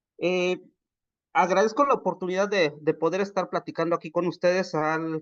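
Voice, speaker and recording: A man's voice sits at a high pitch and shows ordinary pitch variation. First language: Popoluca (Zoque) (speaking Spanish). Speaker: agronomist speaker at a workshop. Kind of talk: webinar presentation. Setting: video call. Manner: hesitant, many fillers.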